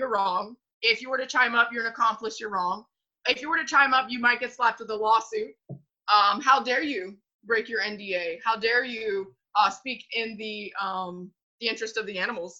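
A woman speaks at a fairly high pitch in a bright, sharp tone. Her pace is moderate, with ordinary pitch variation and big swings in loudness. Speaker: dog trainer guest. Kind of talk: casual interview. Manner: casual, animated.

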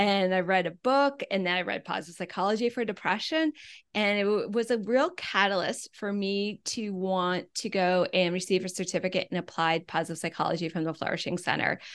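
In an American accent, a woman speaks at a fairly quick pace with hardly any pauses, an unremarkable speaking voice, medium pitch, ordinary pitch variation and a quiet background. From US Midwest (Wisconsin). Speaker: wellbeing coach and podcast host. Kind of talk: interview.

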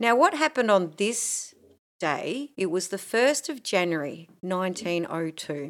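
Speaking in an Australian accent, a woman at medium pitch moves at a fairly slow pace. Her pitch swings very widely. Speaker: podcast co-host. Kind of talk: casual chat. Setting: home recording. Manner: animated.

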